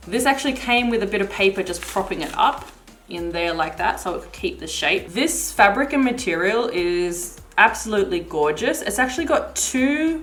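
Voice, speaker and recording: A woman speaks at a moderate pace with hardly any pauses, her fairly high voice showing very wide pitch swings and big swings in loudness over noticeable background noise. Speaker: vlogger. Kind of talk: product review. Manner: casual, chatty.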